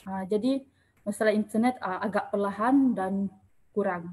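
The speaker goes at a fairly slow pace and sounds somewhat breathy. The intonation stays fairly even. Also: woman. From Malaysia, Orang Asli (Temiar) community. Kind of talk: online panel forum moderation. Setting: Facebook Live online forum. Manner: hesitant, many fillers.

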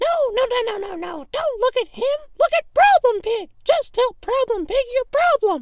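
Speaking fairly slowly, the put-on character voice reaches an extremely high pitch. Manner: pushy, aggressive, speaks of himself in third person; loud, bossy shouting.

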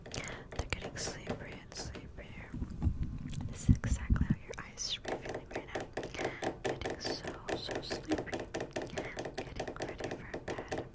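Whispering and soft-spoken, a woman talks at a fairly slow pace with long, frequent pauses. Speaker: ASMR creator. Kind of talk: soft ASMR sleep hypnosis talk. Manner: soft close-mic ASMR whisper. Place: home room. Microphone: studio mic.

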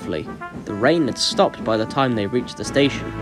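Intonation here is lively. The reading voice sounds unforced.

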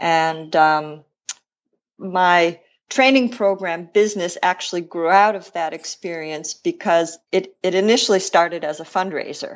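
Here a woman with an American accent talks at a fairly slow pace and a fairly low pitch, with ordinary pitch variation. It is a plain, everyday voice. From Buffalo, New York, US. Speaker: rowing coach. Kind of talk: interview.

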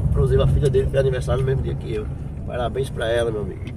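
A man talks amid loud background noise, his sound dry with no echo. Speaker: vlogger driving. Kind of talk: casual vlog chat. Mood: warm, grateful. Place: car. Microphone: phone near.

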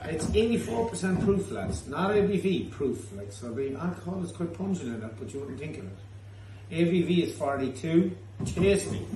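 Pitch swings very widely and loudness rises and falls sharply against noticeable background noise. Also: man, moderate pace. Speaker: pub host presenting the tasting. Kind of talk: casual tasting banter. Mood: jokey, laughing. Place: bar. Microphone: phone near.

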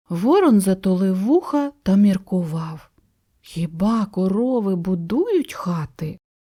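An unforced reading voice, lively in intonation, over a quiet background

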